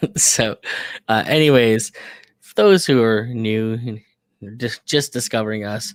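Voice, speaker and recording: A loud male voice at medium pitch, with ordinary pitch variation. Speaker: podcast host. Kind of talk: casual chat. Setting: home studio, live stream.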